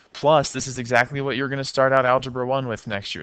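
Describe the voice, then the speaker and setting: A very fast-talking man with a bright, sharp tone. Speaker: math teacher. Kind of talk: lecture.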